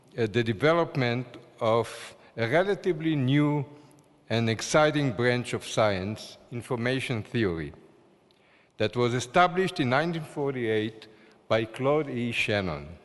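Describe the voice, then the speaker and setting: A man with an Israeli accent speaks at a moderate pace with long, frequent pauses. His medium-pitched voice has lively intonation. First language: Hebrew. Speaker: award-winning scientist. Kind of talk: award acceptance speech. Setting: ceremony hall. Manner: formal.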